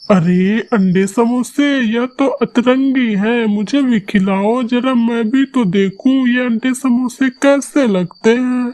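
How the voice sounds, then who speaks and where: In a cartoonish character voice, a man speaks at a very slow pace with an extremely high pitch and hardly any pauses. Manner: enthusiastic.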